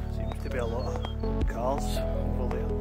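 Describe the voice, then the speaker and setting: Loud music plays in the background while a man speaks, the sound dry with no echo. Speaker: vlogger. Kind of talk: casual vlog chat. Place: open country. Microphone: phone near.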